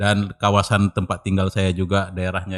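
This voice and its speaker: This is a man speaking. His pitch is fairly low. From North Sumatra, Indonesia (Medan/Belawan, Tarutung). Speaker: cultural researcher. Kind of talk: casual interview. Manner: halting.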